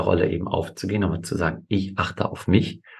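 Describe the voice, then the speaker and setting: A man's very deep, low, somewhat breathy voice at a moderate pace. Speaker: family and fathers' coach, podcast co-host. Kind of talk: conversational podcast discussion.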